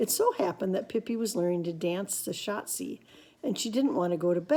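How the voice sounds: This is a natural reading voice. That is what the clip holds.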